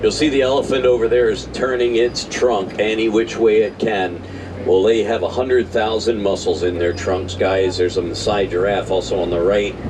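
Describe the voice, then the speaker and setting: Over noticeable background noise and audible room echo, a man with a fairly low pitch speaks in an animated tone. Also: ordinary pitch variation, moderate pace. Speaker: safari ride tour guide. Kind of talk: live guided tour narration. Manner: animated, addressing riders.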